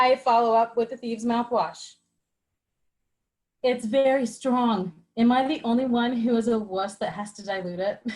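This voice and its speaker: A woman with a fairly high pitch speaks at a moderate pace with fairly even intonation. She leaves long, frequent pauses. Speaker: online wellness product presenter. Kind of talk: live group video call presentation. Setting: video call.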